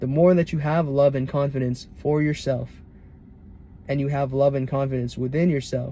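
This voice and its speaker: At a moderate pace, a man speaks with a fairly high pitch, a somewhat breathy sound and a dark, mellow tone. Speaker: self-improvement vlogger. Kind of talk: casual monologue vlog.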